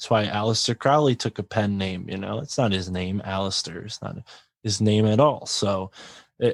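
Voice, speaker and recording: Recorded very cleanly over a silent background, a man with a Connecticut accent speaks at a fairly low pitch and a moderate pace. His loudness swings widely while his pitch varies in an ordinary way, and the sound is dry and close with no echo. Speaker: podcaster and author. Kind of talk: casual interview chat.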